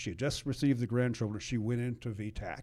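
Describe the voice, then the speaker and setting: A man talks very fast in an American accent, recorded very cleanly against a silent background. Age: 70s. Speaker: retired firefighter. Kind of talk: casual chat, storytelling.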